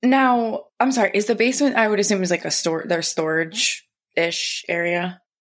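A woman speaks in an ordinary speaking voice at medium pitch with ordinary pitch variation. Her moderate pace has hardly any pauses, and her loudness stays very even. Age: 30s. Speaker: podcast co-host. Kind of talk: casual chat.

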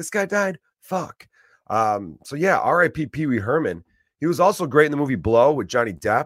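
In an animated tone, a man with an American accent and vocal fry speaks at a fairly high pitch with very wide pitch swings, on a very clean recording with a silent background and a dry, close sound with no echo. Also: moderate pace. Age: 30s. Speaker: stand-up comedian and podcast host. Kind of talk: casual solo rant.

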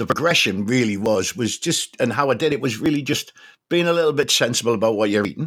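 A man with a Geordie accent talks at a very fast pace and medium pitch with lively intonation. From north-east England, Newcastle. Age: 60s. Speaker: charity fundraiser and army veteran. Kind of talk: interview.

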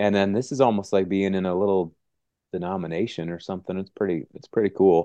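Against a quiet background, a man talks at a very fast pace in a dark, mellow tone, his fairly low pitch held in fairly even intonation while his loudness swings widely. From US Midwest, Wisconsin. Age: 40s. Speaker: pastor and author. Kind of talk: interview conversation.

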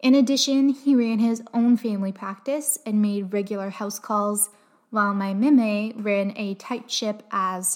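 In a Canadian accent, a woman with an ordinary speaking voice talks at a fairly slow pace and fairly high pitch, her intonation fairly even but her loudness swinging widely. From Canada, Windsor, Ontario. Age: 20s. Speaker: podcast host. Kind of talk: solo personal storytelling podcast.

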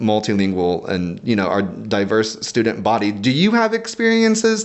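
Here is a man with a plain, everyday voice. His pitch is medium, his intonation lively and his pace moderate. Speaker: podcast host, education professional. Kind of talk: interview. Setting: studio.

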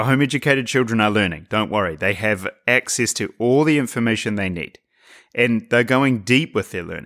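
A man with a New Zealand accent talks at a fairly quick pace in a medium pitch with ordinary pitch variation, on a very clean recording with a silent background. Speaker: podcast host, writer. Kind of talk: monologue podcast talk. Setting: home, by a fire at night.

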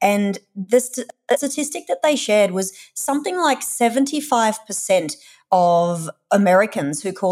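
Her pitch swinging very widely, a woman with an Australian accent speaks at a fairly high pitch on a very clean recording with a silent background. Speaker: content manager and digital nomad. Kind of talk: interview conversation.

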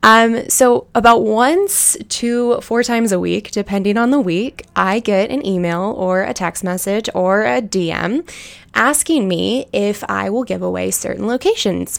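A woman speaks at a fairly slow pace with hardly any pauses. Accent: American. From US West, Lake Tahoe area. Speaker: elopement photographer and podcast host. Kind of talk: casual solo podcast talk. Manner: conversational with frequent fillers.

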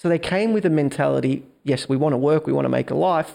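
A man's very fast speech at a fairly high pitch. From Melbourne, Australia. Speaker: entrepreneur.

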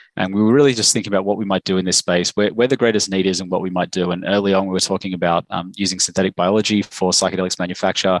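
A man's very deep, low voice in flat monotone at a very fast pace, dry and close with no echo over a quiet background. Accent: Australian. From Australia. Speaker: medicinal chemist, biotech cofounder. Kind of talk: interview.

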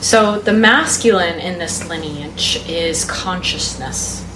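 Audible room echo and noticeable background noise accompany a woman speaking with an American accent. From Texas. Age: 20s. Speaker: feminine embodiment and polarity teacher. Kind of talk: casual interview chat.

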